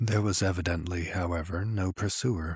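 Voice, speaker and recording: A man's very deep, low voice, somewhat breathy and fairly even in intonation, in a dry, close sound with no echo and a very clean recording with a silent background. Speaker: audiobook narrator. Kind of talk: dramatic narration of a horror story, read aloud.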